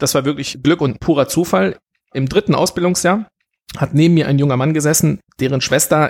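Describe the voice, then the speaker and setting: Quick-paced and fairly high in pitch, a man talks in a plain, everyday voice. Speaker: restaurant manager and gastronomy figure. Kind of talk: podcast interview.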